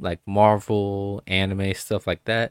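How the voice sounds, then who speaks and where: Speaking very slowly, a man uses a Texan accent and a fairly low pitch. The recording is very clean, with a silent background and a dry, close sound with no echo. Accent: Texan with Hawaiian roots. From Hawaii. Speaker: podcast guest and FedEx worker. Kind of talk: casual chat. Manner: casual, filler-heavy.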